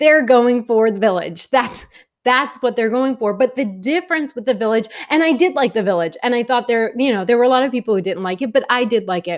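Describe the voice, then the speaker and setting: With a New York accent, a woman talks at a fairly quick pace in a high voice, her tone animated and her intonation lively. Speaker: film reviewer. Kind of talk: video review monologue.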